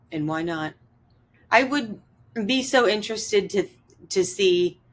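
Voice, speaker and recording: Here is an unremarkable speaking voice from a woman with a medium pitch. She moves at a fairly slow pace with lively intonation. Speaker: podcast host interviewing her grandfather. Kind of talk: interview questions.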